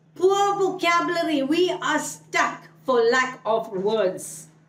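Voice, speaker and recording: Audible room echo surrounds a woman who speaks very slowly, her pitch swinging very widely. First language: Malayalam. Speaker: English speaking coach. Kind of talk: online tutorial.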